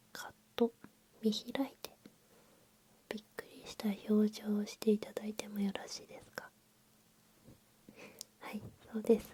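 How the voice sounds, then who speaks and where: Fairly high in pitch and somewhat breathy, a woman speaks in a flat monotone with big swings in loudness and long, frequent pauses. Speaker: ASMR creator playing an eyebrow salon staff member. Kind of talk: ASMR roleplay for sleep, polite salon service talk. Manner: whispered, soft-spoken, slow.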